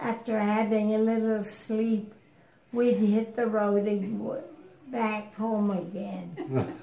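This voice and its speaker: Fairly even intonation at a very slow pace. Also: woman. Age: 80s+. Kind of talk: interview answer.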